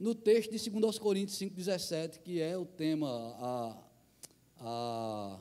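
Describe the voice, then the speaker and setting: A man speaks at a high pitch and a fairly slow pace, his pitch swinging very widely. Noticeable background noise and audible room echo fill the recording. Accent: northeastern Brazilian. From Brazilian Northeast. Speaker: missionary pastor. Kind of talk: sermon. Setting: church.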